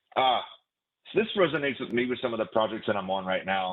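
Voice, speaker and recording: The speaker is a man whose voice sits at a medium pitch. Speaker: class instructor. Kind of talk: lecture. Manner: halting.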